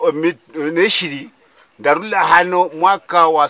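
A man talks in a high pitch at a very slow pace. The sound is dry with no echo. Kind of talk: interview answer. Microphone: phone near.

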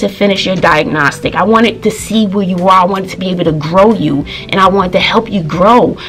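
A woman at a fairly quick pace, with faint music in the background. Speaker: teacher, vlogger. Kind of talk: casual vlog storytelling. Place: home room. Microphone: phone near.

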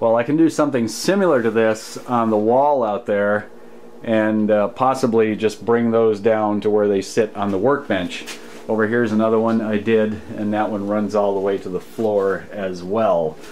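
Over light background noise, a man with a plain, everyday voice talks at a fairly low pitch and a moderate pace. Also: fairly even intonation. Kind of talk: casual tutorial walkthrough. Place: workshop. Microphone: phone near.

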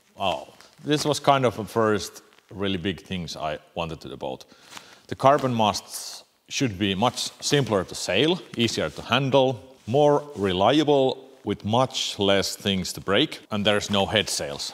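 In a Finnish accent, a man speaks fairly slowly at a fairly low pitch. His intonation is lively, and his loudness swings widely. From Finland. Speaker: boat builder. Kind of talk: casual Q&A vlog. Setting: boat building workshop. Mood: calm, thoughtful. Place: workshop.

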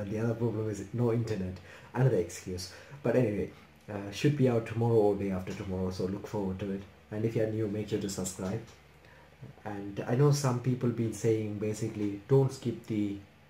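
Talking at a fairly quick pace, a man with a fairly low pitch keeps his intonation fairly even. Audible room echo and light background noise are in the recording. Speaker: anime reaction youtuber. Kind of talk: casual vlog chat. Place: home room. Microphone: earbuds.

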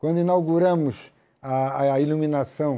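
Dark and mellow in tone, the voice shows ordinary pitch variation. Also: man. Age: old. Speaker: football club executive; guest. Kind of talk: interview. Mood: warm, nostalgic, animated. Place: studio. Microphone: lapel.

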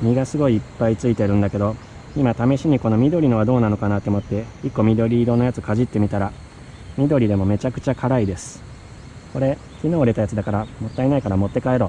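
Speech comes at a very fast pace with ordinary pitch variation, dry with no echo and with light background noise. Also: man. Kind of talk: casual vlog chat. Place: garden. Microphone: phone near.

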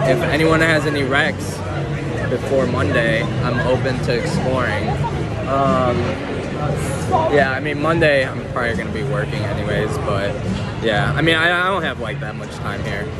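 With crowd noise in the background yet a dry sound and no echo, a man talks at a moderate pace with ordinary pitch variation and long, frequent pauses. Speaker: vlogger. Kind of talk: casual vlog chat. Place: market.

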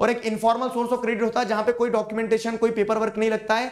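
Talking at a fairly quick pace, a man uses a high-pitched voice. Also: quiet background. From India. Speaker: online tutor for school exams. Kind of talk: live-streamed exam revision lecture. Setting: live online stream. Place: studio. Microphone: network latency and audio issues at start.

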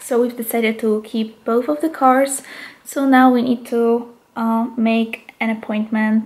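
Her accent is Polish. The woman's intonation is monotone and flat. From Poland. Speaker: vlogger. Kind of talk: casual vlog. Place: home room. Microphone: phone near.

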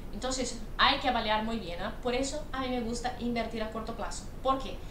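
Speech at a fairly quick pace with ordinary pitch variation comes through noticeable background noise. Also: woman. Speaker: investment educator. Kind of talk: commentary. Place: home room. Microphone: webcam.

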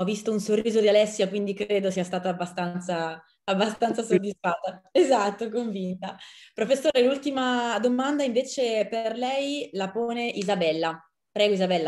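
Her pitch varies in an ordinary way as this woman talks at a moderate speed. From Italy. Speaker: journalist and moderator; journalist, moderator. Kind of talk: moderated dialogue. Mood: friendly, smiling. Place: home room. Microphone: video call.

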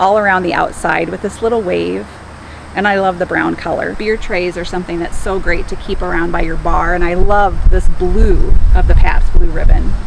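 At a moderate pace, a woman speaks in a dry sound with no echo, with noticeable background noise behind her. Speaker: home decor vlogger. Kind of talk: casual haul vlog chat. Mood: cheerful, enthusiastic. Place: open country.

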